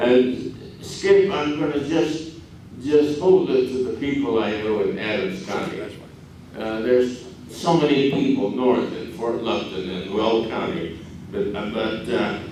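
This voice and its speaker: Fairly slow, lively speech from a man at medium pitch, with audible room echo and noticeable background noise. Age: 90s. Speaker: community elder speaker. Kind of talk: public talk. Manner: halting.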